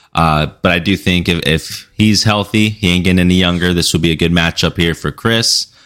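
A man speaks at a moderate pace in a very deep, low voice. His intonation is fairly even and his loudness very even. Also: hardly any pauses, very clean recording, silent background. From Mexico. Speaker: podcast co-host. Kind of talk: casual chat. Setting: live stream.

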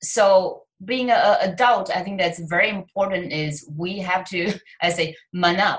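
In a Chinese accent, a woman speaks at a fairly slow pace with a medium pitch. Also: fairly even intonation. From China. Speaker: author and success coach. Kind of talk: interview.

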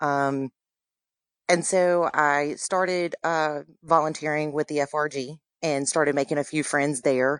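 A woman speaks with a Louisiana accent in a very deep, low pitch and a monotone, flat intonation. The sound is dry and close with no echo, and the background is quiet. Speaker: military spouse and community volunteer. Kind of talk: interview. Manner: hesitant with fillers.

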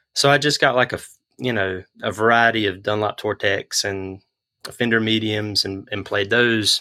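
In a dry, close sound with no echo, a man with a North Carolina accent speaks at a medium pitch with ordinary pitch variation. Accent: Southern US (North Carolina). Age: 30s. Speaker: guitar pick maker. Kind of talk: interview.

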